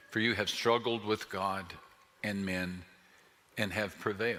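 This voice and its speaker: Fairly low, bright and sharp man's voice in an American accent, monotone and flat, at a fairly slow pace. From Texas. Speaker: pastor. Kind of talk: sermon.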